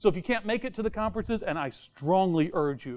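A man talking at a very fast pace, with ordinary pitch variation. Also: quiet background. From Tennessee. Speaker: software conference speaker; conference speaker. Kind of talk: technical talk. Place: meeting room. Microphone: lapel.

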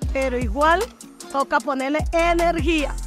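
With music in the background, a woman speaks at a fairly slow pace in a Colombian Pacific coast accent. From Chocó, Colombian Pacific. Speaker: market food vendor. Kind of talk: interview answer.

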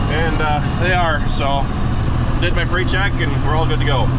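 A man talks at a moderate pace. Loud background noise runs underneath. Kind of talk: casual vlog chat. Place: car. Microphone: camera far.

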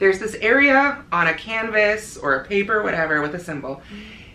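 Over audible room echo, a woman with an American accent talks at a fairly quick pace with hardly any pauses, her pitch swinging very widely and her loudness shifting a lot. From US Midwest, rural northern Illinois. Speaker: crochet designer and blogger; blogger. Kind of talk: casual interview chat. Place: home room.

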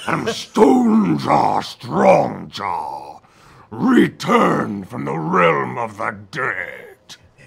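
A man puts on a booming, raspy character voice and speaks very slowly. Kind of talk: horror ghost voice. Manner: booming, menacing, theatrical.

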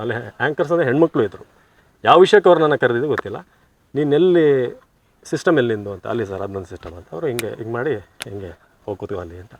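A man speaks at a medium pitch with very wide pitch swings. His loudness also rises and falls sharply. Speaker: former TV news anchor and voice-over artist. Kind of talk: casual interview.

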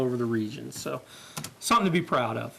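Over noticeable background noise and audible room echo, a man with an American accent talks at a very fast pace with lively intonation. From Kansas (Great Bend). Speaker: parks and recreation official. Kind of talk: presentation to city council. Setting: public council meeting.

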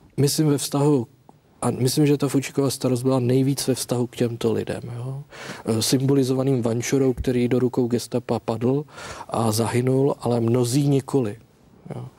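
A man delivers his words in a monotone, flat intonation at a moderate pace. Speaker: historian; guest. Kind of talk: documentary discussion. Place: studio.

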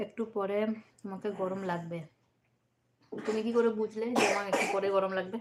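Monotone, flat intonation from a woman speaking at a medium pitch. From West Bengal, Bardhaman. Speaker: vlogger, live-streaming to viewers. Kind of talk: casual live-stream chat with viewers. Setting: indoors at home, doors and windows closed. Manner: chatty, reading and answering comments.

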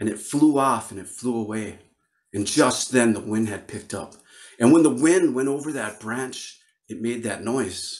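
A man with an American accent at a moderate pace, ordinary pitch variation, big swings in loudness, quiet background. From northern Wisconsin. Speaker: Ojibwe storyteller and flute player. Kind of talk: storytelling performance. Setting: virtual video call with audience. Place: home room. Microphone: studio mic.

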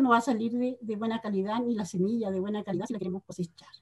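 Pitch moves in an ordinary way here. The voice belongs to a woman. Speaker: farmer group representative. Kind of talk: presentation. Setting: video call.

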